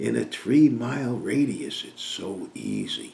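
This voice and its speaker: A man with an American accent speaks over noticeable background noise, and the room echo is audible. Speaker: business coach. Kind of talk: sales pitch.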